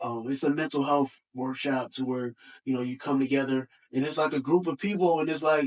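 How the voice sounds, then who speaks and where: A plain, everyday voice from a man, fairly high in pitch, at a fairly quick pace with fairly even intonation, in dry, close sound with no echo. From Buffalo, New York. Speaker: hip-hop artist. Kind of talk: casual interview chat.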